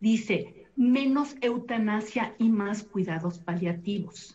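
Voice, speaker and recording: Lively intonation marks this woman's fairly high-pitched delivery, an ordinary speaking voice. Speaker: thanatologist and family counselor. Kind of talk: televised panel discussion. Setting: video call.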